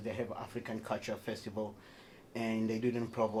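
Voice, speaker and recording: A man with a medium-pitched voice talks at a fairly quick speed. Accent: Tanzanian. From Tanzania. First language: Haya. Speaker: performing artist. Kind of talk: radio interview. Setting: radio studio.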